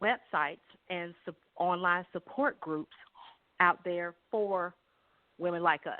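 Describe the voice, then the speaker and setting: At a very slow pace, a woman with an American accent talks in a fairly low pitch with ordinary pitch variation. She leaves long, frequent pauses. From South Carolina. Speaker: kindergarten teacher, breast cancer survivor. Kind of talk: interview answer. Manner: casual, conversational.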